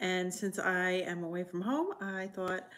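A woman talks at a very slow pace, with light noise in the background. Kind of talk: casual live stream talk. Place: home room. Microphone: phone near.

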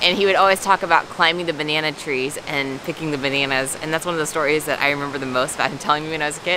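Over noticeable background noise, a woman speaks at a very fast pace. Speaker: travel vlogger. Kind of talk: casual vlog chat. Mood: delighted, wistful. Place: forest. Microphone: phone near.

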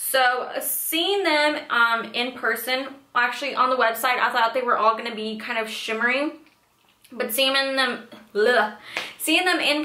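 In a room with audible echo, a woman speaks at a very slow pace in a high pitch. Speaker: beauty vlogger. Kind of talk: casual product review chat. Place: home room.

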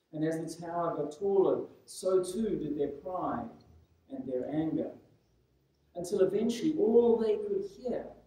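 Speaking at a very slow pace, a man is heard with audible room echo. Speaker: preacher. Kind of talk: sermon. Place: church.

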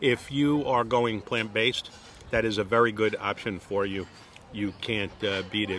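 Over light background noise, a man speaks at a moderate pace with a fairly low pitch and ordinary pitch variation, the sound dry with no echo. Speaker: home chef reviewing a restaurant. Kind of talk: casual vlog chat. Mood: relaxed, chatty. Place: garden. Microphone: phone near.

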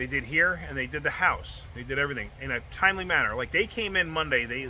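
A man speaks at a very fast pace. Light background noise is audible. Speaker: home car repair vlogger. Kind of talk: casual vlog chat. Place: street. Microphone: phone near.

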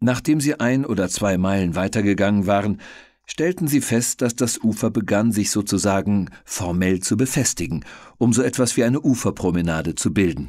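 In a very clean recording with a silent background, a man with a fairly low pitch and a dark, mellow tone speaks with lively intonation at very even loudness. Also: moderate pace. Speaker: audiobook narrator. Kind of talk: audiobook reading.

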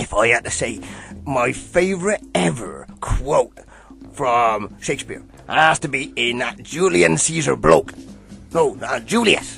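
A man speaks at a medium pitch and a fairly slow pace while clear music plays in the background. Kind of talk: comic character acting. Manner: enthusiastic, rambling, muddled.

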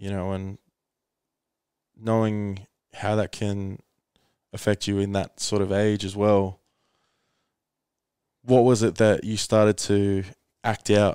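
A man speaks at a very slow pace with long, frequent pauses, a fairly low pitch and a dark, mellow tone in a monotone, flat intonation. The sound is dry with no echo, against a quiet background. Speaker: podcast host and coach. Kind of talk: casual podcast conversation. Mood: earnest, animated. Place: home room. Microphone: headset.

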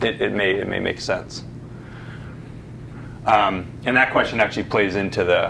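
At a moderate pace, a man speaks in a fairly low pitch over light background noise. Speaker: presenter. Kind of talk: answer to an audience question, presentation. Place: meeting room.

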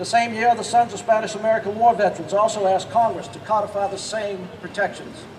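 Over noticeable background noise, a man talks at a fairly quick pace in a high pitch. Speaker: speaker. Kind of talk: prepared speech. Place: street. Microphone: podium.

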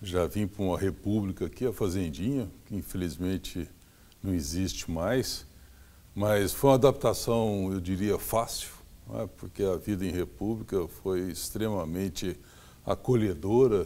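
Fairly low-pitched male voice with a dark, mellow tone, at a fairly slow pace. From Brazil, São Paulo state interior (Franca); São Paulo state, Brazil. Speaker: forestry engineering professor. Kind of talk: interview. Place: home room. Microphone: lapel.

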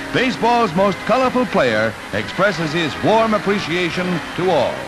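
A man's high-pitched voice in an upbeat tone, with noticeable background noise. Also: lively intonation, moderate pace, very even loudness. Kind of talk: 1940s newsreel narration. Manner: upbeat, declamatory.

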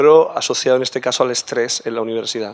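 Here a man is speaking. His pace is fairly quick. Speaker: physiology professor asking question. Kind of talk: audience question. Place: hall. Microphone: podium.

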